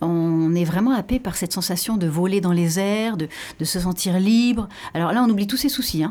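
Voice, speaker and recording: In a very clean recording with a silent background, a woman with a dark, mellow tone talks at a moderate pace with lively intonation. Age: 50s. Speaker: pole dance athlete. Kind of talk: radio interview.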